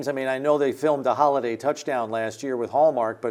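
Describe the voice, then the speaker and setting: A man of medium pitch talks at a fairly quick pace against noticeable background noise. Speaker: radio play-by-play announcer. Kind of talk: sports show analysis.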